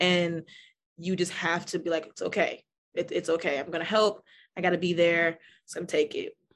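A woman speaks at a moderate pace in a fairly low, monotone voice with flat intonation, long and frequent pauses, and a quiet background. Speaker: art therapist. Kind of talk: casual interview chat, live event. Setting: live event.

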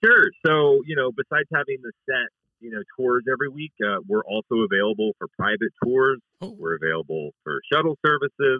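A man speaks at a medium pitch. His pitch swings very widely. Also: big swings in loudness. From Pittsburgh. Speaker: comedy bus tour owner. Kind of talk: interview.

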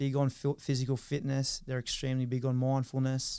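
A man speaks with an Australian accent at a fairly quick pace. His voice is medium in pitch, with a dark, mellow tone. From Australia, Newcastle NSW. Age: 30s. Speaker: former rugby league player. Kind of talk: interview, casual chat.

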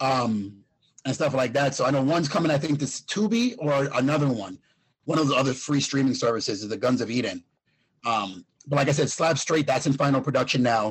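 Fairly high-pitched, somewhat breathy man's voice with ordinary pitch variation, very even loudness and a fairly quick pace. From Puerto Rico. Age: 40s. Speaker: fitness coach and former kickboxing champion. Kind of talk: casual interview.

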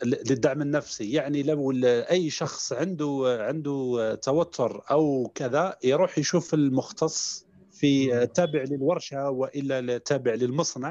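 A man's dark, mellow tone at a fairly high pitch, very slow pace, fairly even intonation and hardly any pauses. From Algeria, Mila province. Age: 30s. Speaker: psychologist and sophrology trainer. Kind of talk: interview. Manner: halting, many hesitations.

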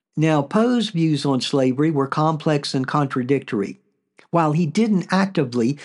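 Over a quiet background, a man talks at a moderate pace in a fairly high pitch with lively intonation. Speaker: podcast host. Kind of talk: scripted narration. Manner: plain natural reading voice.

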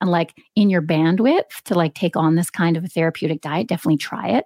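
A woman with a Canadian accent speaks in a dark, mellow tone with ordinary pitch variation, her voice dry and close with no echo on a very clean recording against a silent background. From Canada. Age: 40s. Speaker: registered dietitian and author. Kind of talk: interview. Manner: accessible, clear explanations.

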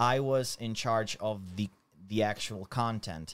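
A medium-pitched man with a Slovak accent at a fairly slow pace, in a very clean recording with a silent background. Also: dry, close sound with no echo. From Slovakia. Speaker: YouTuber. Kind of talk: casual chat.

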